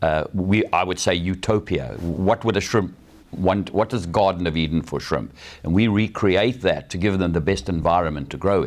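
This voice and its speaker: With a South African accent, a man speaks at a very deep, low pitch with vocal fry. His pace is moderate, and his pitch varies in an ordinary way. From South Africa, Durban. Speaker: shrimp farmer. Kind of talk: TV interview. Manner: hesitant, with fillers.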